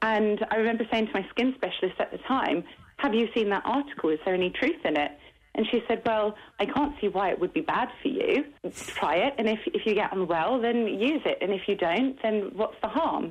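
With lively intonation and very even loudness, a woman speaks fairly quickly at a fairly high pitch. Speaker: interviewee. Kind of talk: interview. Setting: phone call. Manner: energetic.

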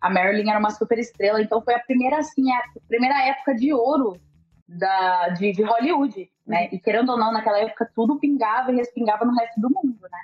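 A woman uses a normal speaking voice, fairly high in pitch with ordinary pitch variation, at a fairly quick pace. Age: 20s. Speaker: journalist and content creator. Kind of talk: casual interview chat.

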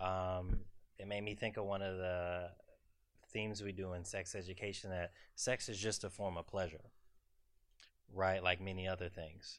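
A man's very deep, low voice with a Southern US accent, monotone and flat, broken by long, frequent pauses, on a very clean recording with a silent background. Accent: southern drawl. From US South, South Carolina. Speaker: psychiatrist. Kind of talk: expert commentary at live event. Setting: live event with audience.

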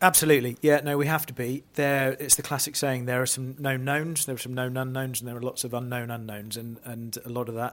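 Fairly quick speech in an East Anglian accent, with fairly even intonation. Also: man, medium pitch for a man. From Norfolk, England. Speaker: farm managing director. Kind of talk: casual interview.

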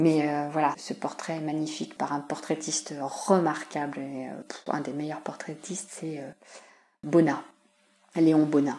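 A woman with a very deep, low pitch speaks at a fairly slow pace in a monotone, flat intonation, her loudness swinging widely. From Paris region, France (Yvelines). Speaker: museum collections officer. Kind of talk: interview. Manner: hesitant, many fillers.

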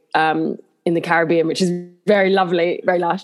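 Fairly low in pitch, a woman talks with a London accent. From southeast London, England. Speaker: actress. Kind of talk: casual interview chat.

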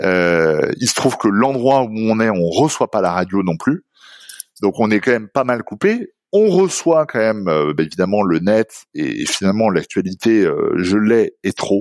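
Lively intonation and very even loudness at a fairly slow pace, on a very clean recording with a silent background. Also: man, fairly low pitch for a man. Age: 40s. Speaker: company executive. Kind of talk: interview. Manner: halting, many repetitions.

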